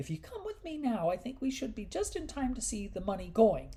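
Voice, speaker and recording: A put-on character voice, female-sounding and fairly high in pitch, moves at a fairly quick pace. Light background noise sits behind it. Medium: read story.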